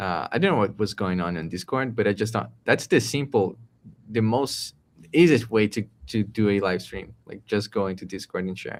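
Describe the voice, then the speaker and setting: With a Portuguese accent, a man speaks at a moderate pace and a fairly low pitch, with ordinary pitch variation. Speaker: tech entrepreneur co-host. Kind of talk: casual chat. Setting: live stream. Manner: halting.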